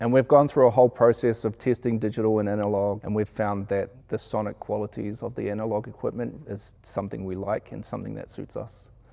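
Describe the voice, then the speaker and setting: With a New Zealand accent, a man speaks at a fairly quick pace in a fairly low, dark, mellow monotone, his loudness swinging widely. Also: hardly any pauses. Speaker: sound engineer. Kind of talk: interview.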